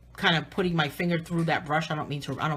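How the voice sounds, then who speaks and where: A somewhat breathy woman's voice, fairly low in pitch. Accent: New England. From southern New England. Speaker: artist and coloring book author. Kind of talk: live stream tutorial, casual chat. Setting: live video stream.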